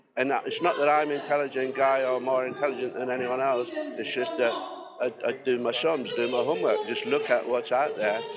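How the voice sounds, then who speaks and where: A man with a northern English accent at a fairly quick pace, over music in the background. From northern England. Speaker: protester, building worker. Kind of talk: street interview. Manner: halting.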